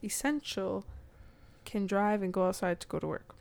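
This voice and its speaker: An ordinary speaking voice, medium in pitch, from a woman. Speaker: guest. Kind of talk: casual comedic chat. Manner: sarcastic, joking, quick-witted.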